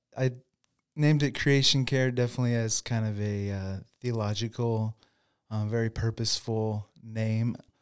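At a moderate pace, a man speaks in a plain, everyday voice at medium pitch with fairly even intonation, in a very clean recording with a silent background. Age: 40s. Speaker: lawn care business owner, former pastor. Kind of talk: interview.

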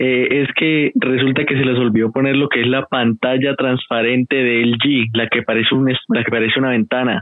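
Barely pausing, a man speaks in a monotone, flat intonation with very even loudness. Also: medium pitch for a man, moderate pace. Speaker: caller. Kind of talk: casual chat.

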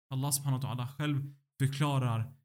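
At a fairly slow pace, this somewhat breathy voice unfolds. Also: man. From Sweden. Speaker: doctoral student in Islamic philosophy. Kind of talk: religious teaching conversation.

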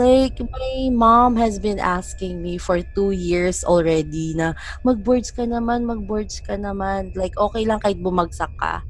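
Music plays in the background. The speech runs on with hardly any pauses. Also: woman, fairly slow pace. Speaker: podcast co-host. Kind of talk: casual chat.

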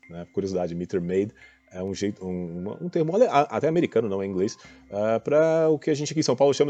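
The voice has a dark, mellow tone, ordinary pitch variation and a fairly quick pace. The sound is dry and close with no echo, and the background is quiet. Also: man. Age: 40s. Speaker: fund manager. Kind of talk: casual commentary on music. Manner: hesitant, many fillers.

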